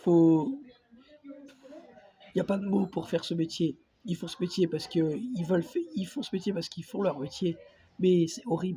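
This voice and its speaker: A high-pitched male voice with ordinary pitch variation, a moderate pace and long, frequent pauses. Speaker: video blogger. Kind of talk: casual vlog monologue. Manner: hesitant, many fillers.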